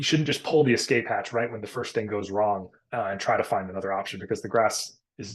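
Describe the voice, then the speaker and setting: A man with an American accent talks at a very fast pace in a fairly low pitch, his pitch varying in an ordinary way. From North Carolina. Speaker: college soccer recruiting advisor. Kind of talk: casual podcast conversation.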